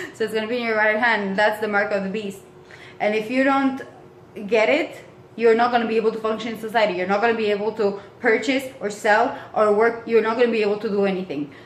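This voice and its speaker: At a very fast pace, a woman speaks in an animated tone with a fairly high pitch. Noticeable background noise and audible room echo are present. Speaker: vlogger. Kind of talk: casual rant to camera.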